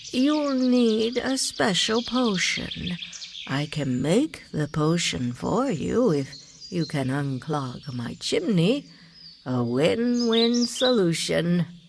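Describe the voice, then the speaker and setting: A put-on character voice that sounds female, pitched fairly low, with very wide swings in pitch. She speaks very slowly over clear background noise. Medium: machinima. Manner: rambling, repeats itself.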